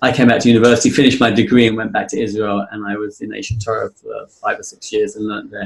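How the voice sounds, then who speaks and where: This is a man speaking. He has a British accent. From England. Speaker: fundraising consultant. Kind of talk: interview. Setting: podcast.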